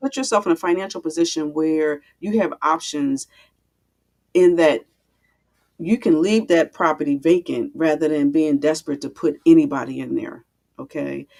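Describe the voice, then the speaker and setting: In an American accent, the speaker talks with long, frequent pauses. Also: woman, very deep, low pitch for a woman, ordinary pitch variation, moderate pace. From Philadelphia, US. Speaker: real estate investor and landlord coach. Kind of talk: webinar interview.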